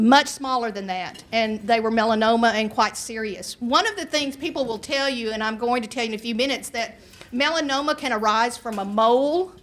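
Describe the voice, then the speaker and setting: Amid noticeable background noise, a woman with a Southern US accent talks at a fairly quick pace with ordinary pitch variation. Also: fairly high pitch for a woman, hardly any pauses. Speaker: nurse practitioner and health educator. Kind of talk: public health talk to an audience. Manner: conversational, with asides and hesitations.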